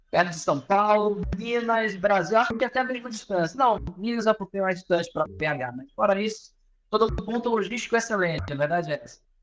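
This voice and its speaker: Speaking in a Pará accent, a man with a high-pitched voice uses lively intonation and big swings in loudness. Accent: Pará accent, drawling with hissing s. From northern Brazil, Pará. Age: 30s. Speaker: professor and business consultant. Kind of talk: podcast interview. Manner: casual, with hesitations and repetitions.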